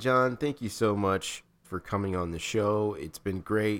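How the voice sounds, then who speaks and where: A man talks at a very slow pace in a fairly low voice. The recording is very clean, with a silent background. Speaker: podcast host. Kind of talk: casual chat. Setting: recording with headphones.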